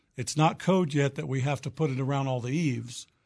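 At a moderate pace, a man with an American accent talks fairly high for a man with fairly even intonation, over a quiet background. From Oklahoma. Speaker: roofing contractor. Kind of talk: radio interview.

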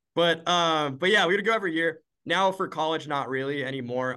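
A man's fairly high, bright, sharp voice, fairly quick in pace, with ordinary pitch variation against a quiet background. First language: Spanish. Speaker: university student and entrepreneur. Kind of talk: interview.

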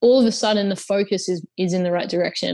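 With an Australian accent, a woman speaks at a very fast pace. Her pitch varies in an ordinary way against a quiet background. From UK and Australia. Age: 20s. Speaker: social entrepreneur. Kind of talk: interview.

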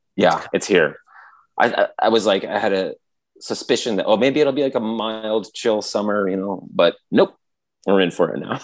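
Against a quiet background, a man's speech moves at a moderate pace. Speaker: podcast co-host. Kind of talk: casual chat. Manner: loud; animated.

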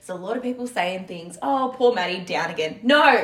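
Over noticeable background noise, a woman with an Australian accent speaks in an animated tone at a moderate pace, her fairly high voice full of lively intonation. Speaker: podcast co-host, netball player. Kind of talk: casual chat.

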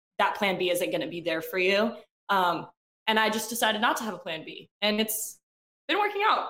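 With an unremarkable speaking voice, a woman talks at a fairly quick pace and a fairly high pitch, with ordinary pitch variation. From Athens, Georgia, US South. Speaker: musician. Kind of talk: interview.

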